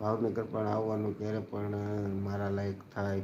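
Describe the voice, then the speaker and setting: A man speaks with a dark, mellow tone at a fairly low pitch. His intonation is monotone and flat, and the room echo is audible. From Gujarat, Bhavnagar district. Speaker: livestreamer and local news reporter. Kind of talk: casual live stream chat.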